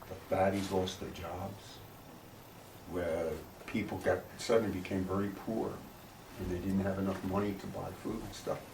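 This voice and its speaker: Amid noticeable background noise and audible room echo, a man with a Philadelphia accent speaks in a very deep, low voice with monotone, flat intonation and long, frequent pauses. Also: moderate pace. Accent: Philadelphia American. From US Northeast, Philadelphia. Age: 70s. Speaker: grandfather telling family history. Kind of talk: storytelling and interview answers.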